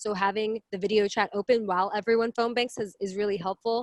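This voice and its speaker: At a medium pitch, a woman talks at a fairly quick pace with fairly even intonation. The sound is dry and close, with no echo. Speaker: community organizer presenter. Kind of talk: webinar presentation. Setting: video call. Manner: fast.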